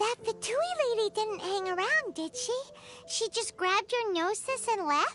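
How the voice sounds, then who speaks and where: A squeaky, put-on character voice comes in at an extremely high pitch and a moderate pace. Music is clearly heard in the background. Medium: video game. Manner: expressive.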